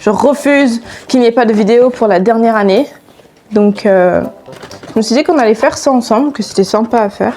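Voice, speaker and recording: A woman speaks at a high pitch with ordinary pitch variation. Noticeable background noise sits behind her. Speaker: YouTuber. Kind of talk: casual vlog. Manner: chatty, hesitant with fillers.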